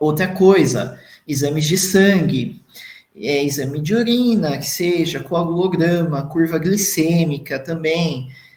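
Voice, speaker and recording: Audible room echo surrounds a man whose voice sits high in pitch with ordinary pitch variation. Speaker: dentist lecturer. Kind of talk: lecture.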